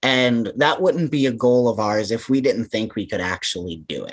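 A man with an American accent and an ordinary speaking voice, medium in pitch, at a moderate pace against a quiet background. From central Massachusetts. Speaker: anti-hunger campaign manager. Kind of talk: interview.

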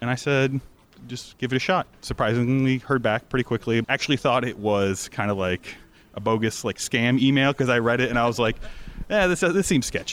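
This man has an ordinary speaking voice at medium pitch, with an American accent, ordinary pitch variation and a fairly quick pace. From Florida. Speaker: bartender, cocktail competitor. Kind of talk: interview at live event.

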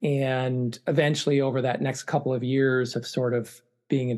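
A man speaks at a medium pitch with an American accent. The background is quiet. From US Northeast (Connecticut, Massachusetts suburbs). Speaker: moving company owner. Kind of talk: interview. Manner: halting, many fillers.

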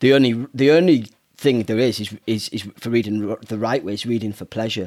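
Here a man talks at a moderate pace. His voice sits at a medium pitch. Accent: northern English. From northern England. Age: 40s. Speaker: children's author. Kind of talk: interview. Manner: halting.

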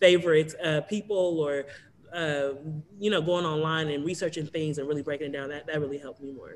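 At a fairly quick pace, a man with an American accent talks at fairly high pitch with fairly even intonation, amid noticeable background noise. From Los Angeles, US West Coast. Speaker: social media entrepreneur and screenwriter. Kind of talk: interview.

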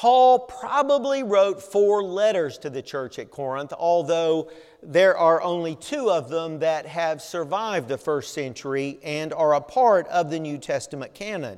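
A man with a Southern US accent and high pitch, very wide pitch swings, a fairly slow pace and hardly any pauses. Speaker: pastor. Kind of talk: sermon. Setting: church.

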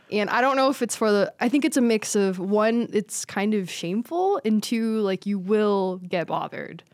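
Speaking in a normal speaking voice at a fairly high pitch, a woman keeps a moderate pace with hardly any pauses, ordinary pitch variation and very even loudness on a very clean recording with a silent background. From Las Vegas, Nevada. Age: 20s. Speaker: stand-up comedian. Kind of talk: casual chat.

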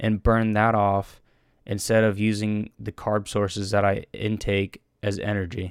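In a dry, close sound with no echo, a man speaks at a fairly slow pace with a fairly low pitch. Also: very clean recording, silent background. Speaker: solo fitness and diet podcaster. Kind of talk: casual monologue.

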